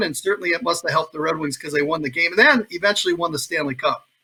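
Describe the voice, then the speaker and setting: Very fast and enthusiastic, a man speaks in a raised, projected voice. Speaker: radio play-by-play hockey announcer. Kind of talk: sports interview answer. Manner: conversational, enthusiastic.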